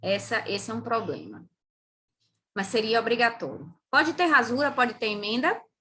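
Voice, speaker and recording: On a very clean recording with a silent background, a woman with a Brazilian accent speaks in a bright, sharp, fairly high-pitched voice with vocal fry, lively intonation, and long, frequent pauses. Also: moderate pace. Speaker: physician and pharmacology lecturer. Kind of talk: lecture.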